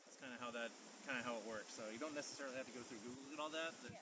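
A man speaks while noticeable background noise runs underneath. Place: boat. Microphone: phone near.

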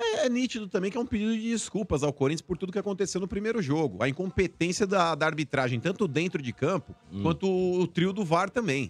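Moving at a fairly quick pace, a man's voice shows very wide pitch swings in a dry sound with no echo. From Brazil. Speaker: football pundit. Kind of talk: casual chat. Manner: animated. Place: studio. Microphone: studio mic.

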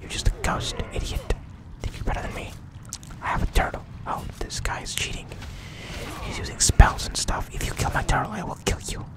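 Whispering at a fairly quick pace, a man leaves long, frequent pauses, his loudness swinging widely against noticeable background noise. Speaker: ASMR gaming channel host. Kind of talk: casual gameplay commentary. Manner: whispered.

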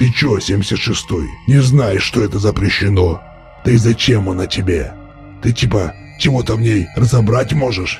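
With clear music in the background, a man does a put-on character voice at a fairly low pitch. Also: moderate pace. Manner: bullying, coarse, menacing.

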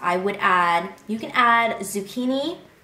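Audible room echo surrounds this voice. A woman speaks at a very slow pace. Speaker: food vlogger. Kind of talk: casual vlog chat. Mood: cheerful, excited. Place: home room.

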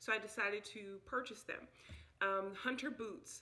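The tone is bright and sharp, with vocal fry and ordinary pitch variation. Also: woman. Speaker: home vlogger. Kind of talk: casual vlog chat. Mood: relaxed, friendly. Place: home room. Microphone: phone near.

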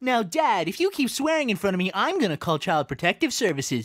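In a put-on character voice, the speaker rattles along at a very fast pace with a fairly high pitch and very wide pitch swings. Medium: machinima. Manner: teasing, smug.

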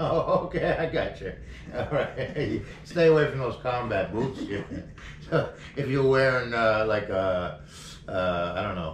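Long, frequent pauses with audible room echo and light background noise. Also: man, fairly slow pace. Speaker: podcast host. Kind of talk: casual interview questions. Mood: friendly, relaxed, laughing. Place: office.

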